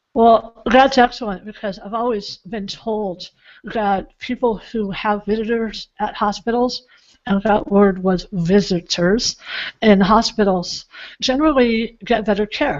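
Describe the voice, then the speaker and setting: This woman has an ordinary speaking voice, fairly high in pitch. Her pitch variation is ordinary. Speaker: author and speaker, show host. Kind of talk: interview host talk.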